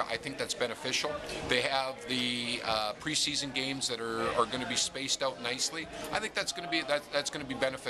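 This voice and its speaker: A man speaks at a fairly quick pace with ordinary pitch variation and a medium pitch. There is noticeable background noise behind him. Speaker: hockey radio broadcaster. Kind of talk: radio-style interview answer about team's season.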